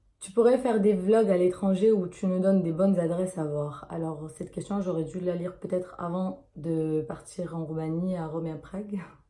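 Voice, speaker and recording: A woman talks with hardly any pauses and fairly even intonation, her loudness swinging widely. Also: medium pitch for a woman, moderate pace. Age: 20s. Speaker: YouTuber. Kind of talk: casual Q&A vlog. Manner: hesitant, many fillers.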